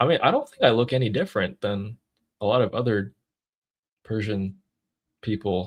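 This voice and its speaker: A man with an American accent, somewhat breathy, at medium pitch and a moderate pace. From California. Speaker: YouTuber hosting a live discussion. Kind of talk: casual live stream chat.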